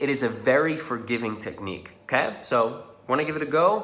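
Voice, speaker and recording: A man with a Dutch accent speaks at a fairly slow pace. Audible room echo and noticeable background noise surround his voice. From Netherlands. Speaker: social confidence coach. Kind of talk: tutorial. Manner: casual.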